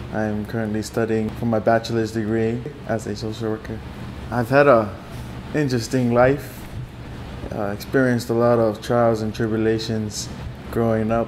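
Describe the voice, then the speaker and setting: A man speaks at a moderate pace in a flat, monotone delivery and a medium pitch, with long, frequent pauses, noticeable background noise, and audible room echo. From Hawaii, Waianae (Oahu). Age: 20s. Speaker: college student and poet. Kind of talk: interview. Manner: halting, frequent fillers.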